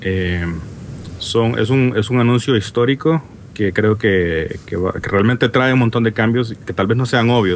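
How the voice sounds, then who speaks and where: A man speaks at a fairly slow pace with ordinary pitch variation. Noticeable background noise sits behind him. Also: medium pitch for a man. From Honduras. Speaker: app developer. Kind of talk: casual chat.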